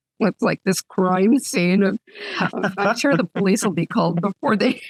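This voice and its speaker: With lively intonation and vocal fry, a woman talks at a moderate pace in a dry, close sound with no echo. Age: 60s. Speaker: author. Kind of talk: casual chat.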